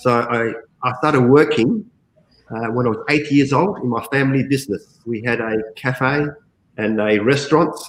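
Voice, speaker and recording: Here a man speaks with an Australian accent at a medium pitch. His pace is moderate and his pitch varies in an ordinary way. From Australia, Adelaide. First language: Greek. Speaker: call center general manager. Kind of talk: interview.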